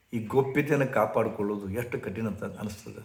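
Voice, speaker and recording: Amid audible room echo, a man speaks in a somewhat breathy voice at a medium pitch with fairly even intonation. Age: 70s. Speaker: spiritual teacher. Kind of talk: storytelling talk.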